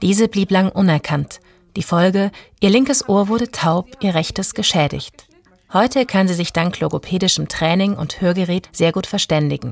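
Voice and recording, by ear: A woman talks at a moderate pace in a fairly low, slightly mellow voice with vocal fry. Her pitch varies in an ordinary way, and she pauses little.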